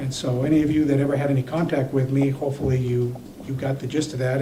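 A man talks at a fairly quick pace with monotone, flat intonation at a medium pitch, with audible room echo. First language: not English. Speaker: city council member, former police chief. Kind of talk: council meeting debate.

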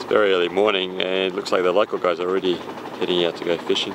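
Clear background noise sits behind a man talking fast in a low pitch, with little pitch movement and vocal fry.

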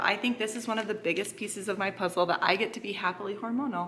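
A woman at a very fast pace, with ordinary pitch variation and light background noise. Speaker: family vlogger. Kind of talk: casual vlog chat with sponsor mention. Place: kitchen. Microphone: phone near.

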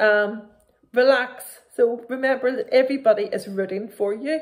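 At a moderate pace, a woman talks with a fairly high pitch and ordinary pitch variation.

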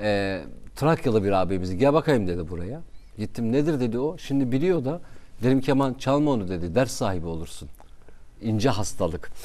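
A man with a Kurdish accent and a dark, mellow tone talks at a moderate pace, his pitch swinging very widely. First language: Kurdish (speaking Turkish). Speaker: radio presenter; talk show guest. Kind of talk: casual chat. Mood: warm, reflective, smiling. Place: studio. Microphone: lapel.

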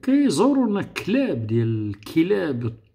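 Against a quiet background, a man speaks very slowly. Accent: Moroccan. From Morocco. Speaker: political youtuber. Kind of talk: political monologue. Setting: online live room. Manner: animated. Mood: argumentative, indignant. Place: home room. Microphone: webcam.

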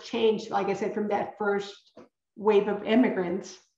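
A woman speaks at a moderate pace with a fairly high pitch and fairly even intonation. There is audible room echo against a quiet background. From San Antonio, Texas (born in Coahuila, Mexico); San Antonio, Texas. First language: Spanish. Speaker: children's author. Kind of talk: author talk with slides. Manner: halting, frequent word repetitions. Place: home room. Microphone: webcam.

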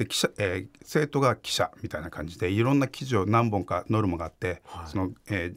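In an ordinary speaking voice, a man talks at a fairly quick pace with hardly any pauses. His pitch is fairly low, his intonation lively, and the background quiet. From Fukuoka, Japan; Japan. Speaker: investigative journalist. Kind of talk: interview. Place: studio. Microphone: studio mic.

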